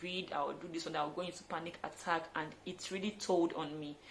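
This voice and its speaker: A woman speaks with a Nigerian accent. Her pitch is fairly low. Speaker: fitness trainer. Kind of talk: vlog tutorial. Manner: fast; animated.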